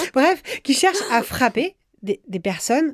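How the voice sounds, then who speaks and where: Lively intonation runs through this woman's speech. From France, Brittany (Rennes). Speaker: journalist and editor. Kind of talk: interview. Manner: halting.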